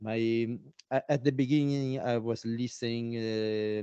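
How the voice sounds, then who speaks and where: A man with an Italian accent speaks at a fairly slow pace and medium pitch, his tone dark and mellow. His intonation is monotone and flat, and the sound is dry and close with no echo. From Italy. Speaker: didgeridoo player. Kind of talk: interview. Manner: halting, many fillers.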